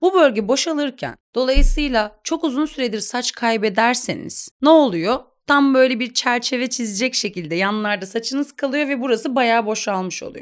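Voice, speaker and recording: A woman's high-pitched voice with lively intonation, a moderate pace and hardly any pauses, on a very clean recording with a silent background. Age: 30s. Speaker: doctor in aesthetic medicine. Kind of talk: interview explaining treatments.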